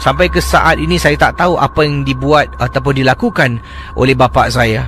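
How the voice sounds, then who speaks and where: A man speaks fairly slowly. Music can be heard behind him. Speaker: late-night radio host. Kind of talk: radio sign-off; radio storytelling, retelling a listener's ghost story. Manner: hesitant, many fillers.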